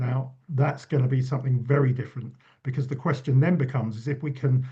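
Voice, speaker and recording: Speaking with an English accent, a man uses a medium pitch, a dark, mellow tone, a somewhat breathy sound and monotone, flat intonation. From England. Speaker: university lecturer and author. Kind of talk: panel discussion.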